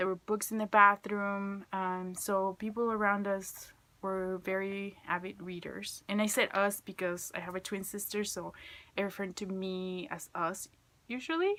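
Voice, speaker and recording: Spoken with a Spanish accent, the delivery is fairly slow and monotone, with flat intonation. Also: woman, medium pitch for a woman. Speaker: student. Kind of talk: class video presentation. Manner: hesitant, many fillers.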